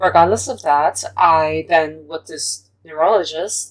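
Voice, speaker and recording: Speaking with a non-native accent, this woman has a very deep, low pitch. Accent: non-native accent from self-taught English. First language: not English; English is fourth language. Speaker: youtuber. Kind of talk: casual vlog monologue. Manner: unscripted, one take.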